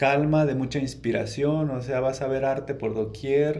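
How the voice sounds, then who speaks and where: Audible room echo surrounds the recording. A man talks at a fairly slow pace. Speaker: painter. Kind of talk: casual interview. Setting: museum, in person.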